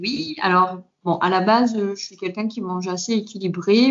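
A woman at medium pitch with ordinary pitch variation and a moderate pace, a plain, everyday voice. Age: 30s. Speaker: fitness coach. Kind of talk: interview.

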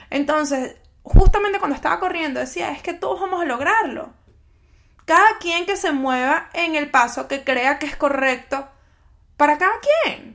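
A woman's high, bright, sharp voice with lively intonation at a moderate pace. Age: 30s. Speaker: podcast host. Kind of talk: solo podcast monologue. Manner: conversational.

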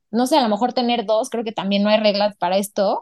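Very fast, monotone, flat speech from a woman at a fairly high pitch, dry and close with no echo. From Mexico, Puebla. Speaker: designer, podcast guest. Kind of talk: casual chat.

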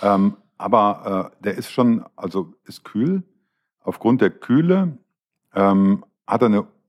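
Speaking at a very slow pace with long, frequent pauses, a man of medium pitch makes very wide pitch swings and big swings in loudness. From Düsseldorf, partly raised in Swabia. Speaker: wine podcast host. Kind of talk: casual chat. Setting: hotel show kitchen.

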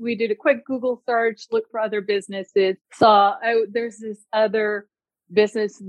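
Using an ordinary speaking voice, a woman with a fairly high pitch talks at a moderate pace with fairly even intonation. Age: 40s. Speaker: nurse practitioner and clinic owner. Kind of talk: consultation call. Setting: call.

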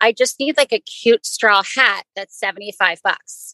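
The voice has an American accent and a bright, sharp tone, with fairly even intonation and a dry, close sound with no echo. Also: woman. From Maryland, US. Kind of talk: casual interview.

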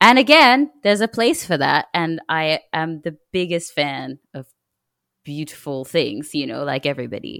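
A woman with a very deep, low pitch and vocal fry makes very wide pitch swings, the sound dry and close with no echo. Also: moderate pace, big swings in loudness, very clean recording, silent background. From Kenya and Australia. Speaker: songwriter and musician. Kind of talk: casual chat. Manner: halting.

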